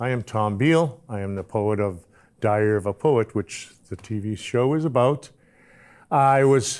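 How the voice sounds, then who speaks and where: A man with an American accent speaks at a medium pitch with lively intonation. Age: 60s. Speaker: poet. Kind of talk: casual monologue. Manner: halting.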